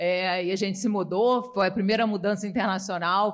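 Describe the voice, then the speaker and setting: A woman with a Rio de Janeiro accent talks with fairly even intonation. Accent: carioca. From Rio de Janeiro, Brazil. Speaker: finance executive, former CFO. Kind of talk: podcast interview.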